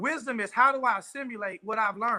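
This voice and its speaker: Speaking at a fairly quick pace, a man uses a raised, projected voice at an extremely high pitch, with a bright, sharp tone and a dry, close sound with no echo. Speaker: pastor and motivational speaker. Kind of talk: motivational talk. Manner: fast; animated.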